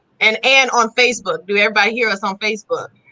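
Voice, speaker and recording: A woman speaks in an American accent. Her tone is bright and sharp. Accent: Chicago accent with a country, southern twang. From Chicago. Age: 40s. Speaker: holistic lifestyle entrepreneur. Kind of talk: casual live-stream interview chat. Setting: live stream on social media.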